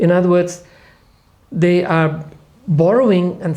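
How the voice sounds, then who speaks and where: A man with a non-native accent and high pitch, with audible room echo. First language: not English. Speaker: Bible scholar. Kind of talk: podcast panel discussion.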